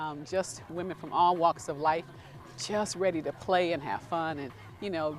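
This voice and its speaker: A woman talks at a moderate pace in a fairly low voice with ordinary pitch variation. She has an unremarkable speaking voice. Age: 60s. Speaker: club member. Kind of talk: interview.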